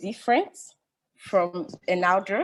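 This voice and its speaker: A woman in a French accent at a very slow pace, medium pitch and ordinary pitch variation. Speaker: family planning professional. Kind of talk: webinar panel discussion. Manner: halting.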